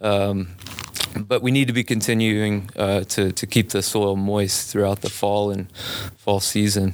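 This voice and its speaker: Against noticeable background noise, a man with an American accent speaks fairly slowly in a monotone, flat intonation at a fairly low pitch. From US South, Biloxi, Mississippi. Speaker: arborist, tree care business owner. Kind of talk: casual interview. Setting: studio.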